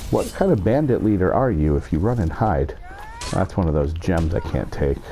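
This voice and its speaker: There is noticeable background noise as a man speaks. His pitch swings very widely. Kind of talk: casual talk to camera, gaming commentary. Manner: whispered, deep.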